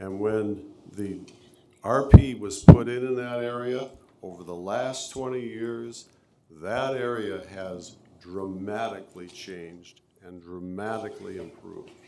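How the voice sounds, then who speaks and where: A man with fairly even intonation, amid noticeable background noise and audible room echo. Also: medium pitch for a man, big swings in loudness. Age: 70s. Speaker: local resident speaking at public hearing. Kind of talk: public comment at zoning hearing. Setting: city zoning board meeting.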